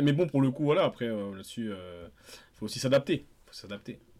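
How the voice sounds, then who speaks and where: A man at a medium pitch and a fairly quick pace. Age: 30s. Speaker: podcast co-host. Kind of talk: casual chat. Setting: remote call from home.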